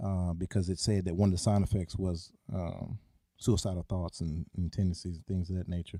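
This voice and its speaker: A man's very deep, low voice with a dark, mellow tone and a Southern US accent, fairly even intonation and a moderate pace, in a very clean recording with a silent background and a dry, close sound with no echo. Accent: Southern twang. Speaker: podcast co-host. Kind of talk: casual podcast chat. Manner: halting, many fillers and repeats.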